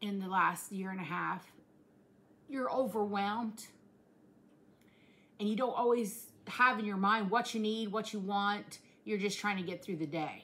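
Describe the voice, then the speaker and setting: In a rural Southern US accent, the speaker uses a bright, sharp, warm tone at a fairly slow pace, with ordinary pitch variation and long, frequent pauses. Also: woman. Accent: rural Southern US, self-described hillbilly. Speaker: vlogger. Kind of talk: casual vlog chat. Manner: warm, conversational, earnest. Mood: earnest, heartfelt. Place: kitchen. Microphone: phone near.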